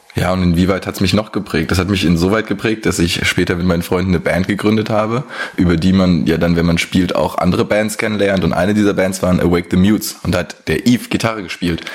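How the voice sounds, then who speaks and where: A very deep, low-pitched male voice at a very fast pace, fairly even in intonation, over noticeable background noise. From Germany, Hesse (Rodgau area). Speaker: video producer. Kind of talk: recorded voice message.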